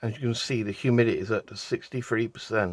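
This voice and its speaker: In a very clean recording with a silent background, a man with a British accent speaks at a moderate pace and a medium pitch. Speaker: resin art hobbyist. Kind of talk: tutorial. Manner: casual.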